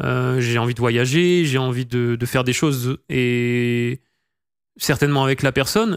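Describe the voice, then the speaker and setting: A man speaks at a medium pitch and a very slow pace on a very clean recording with a silent background. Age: 20s. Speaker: streamer. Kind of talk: casual chat. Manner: halting.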